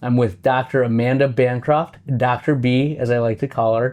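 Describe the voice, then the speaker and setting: An unremarkable speaking voice from a man with an American accent, fairly even intonation and a fairly quick pace, over a quiet background. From West Michigan. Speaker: optometrist, practice owner. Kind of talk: casual interview.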